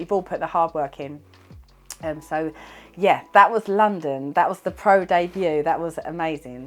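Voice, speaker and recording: With music in the background, a woman with a British accent and a fairly low voice speaks at a moderate pace. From UK. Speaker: wellness bodybuilder and vlogger. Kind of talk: casual vlog recap. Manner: animated.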